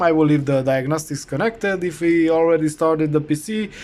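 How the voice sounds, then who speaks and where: The speaker has a non-native accent and talks at a moderate pace. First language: not English. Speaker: heater repair technician. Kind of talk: tutorial. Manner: hesitant, many fillers.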